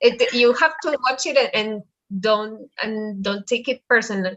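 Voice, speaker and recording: Recorded with a dry, close sound and no echo, a woman with a Spanish accent speaks with ordinary pitch variation. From Colombia. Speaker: Spanish teacher. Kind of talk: online language class.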